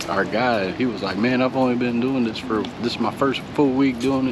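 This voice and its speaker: A man with a North Carolina accent speaks in a room with audible echo and noticeable background noise. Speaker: family travel vlogger. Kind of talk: casual vlog talk. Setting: outdoors downtown at night.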